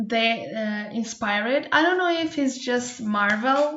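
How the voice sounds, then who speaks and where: A woman with a Portuguese accent talks at a fairly slow pace. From Portugal. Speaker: Twitch streamer reacting to a video. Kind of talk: casual reaction commentary.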